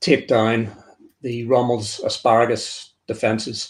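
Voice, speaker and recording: This is a man speaking. He has a Northern Irish accent. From Northern Ireland. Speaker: author and military historian. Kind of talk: interview presentation. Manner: halting, with repeated words.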